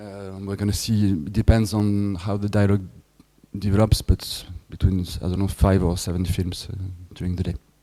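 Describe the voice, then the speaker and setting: With a French accent, a man speaks at a moderate pace in a fairly low, dark, mellow tone. His intonation is monotone and flat, while his loudness swings widely. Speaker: film festival director. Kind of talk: lecture. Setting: workshop with audience. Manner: halting.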